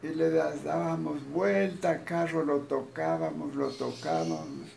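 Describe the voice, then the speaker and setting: Over light background noise, a man speaks at a very slow pace with very wide pitch swings and very even loudness. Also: medium pitch for a man. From Nariño, Colombia. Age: 80s+. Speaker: elderly storyteller. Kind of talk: interview answer, personal anecdote. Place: home room. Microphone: phone near.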